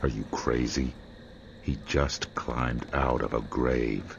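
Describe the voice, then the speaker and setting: A man does a put-on character voice at a very deep, low pitch and a fairly slow pace. Clear background noise runs underneath. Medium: machinima. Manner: terse, sardonic.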